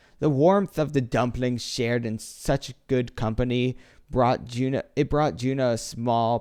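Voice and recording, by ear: Reading aloud, natural in voice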